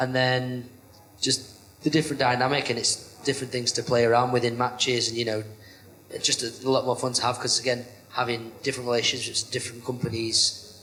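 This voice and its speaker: A man talks at a very fast pace with a monotone, flat delivery at a medium pitch. Noticeable background noise runs underneath. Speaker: professional wrestler. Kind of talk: podcast interview.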